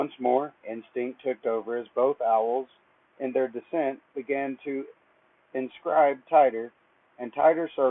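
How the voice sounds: Here a natural reading voice carries ordinary pitch variation.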